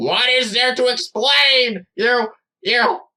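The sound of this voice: A put-on character voice, bright and sharp in tone, slow in pace, with ordinary pitch variation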